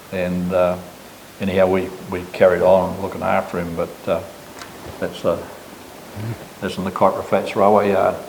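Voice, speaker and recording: Against noticeable background noise and audible room echo, a man with a very deep, low voice talks at a moderate pace in a flat monotone, leaving long, frequent pauses. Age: 80s+. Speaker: business owner. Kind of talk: casual chat.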